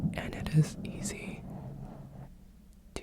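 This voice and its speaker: A whisper against noticeable background noise. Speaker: ASMR creator. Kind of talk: ASMR personal attention affirmations. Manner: whispered, soft-spoken.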